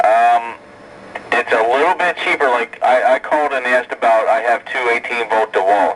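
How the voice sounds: Speaking at a fairly slow pace, a man has a fairly bright tone and ordinary pitch variation.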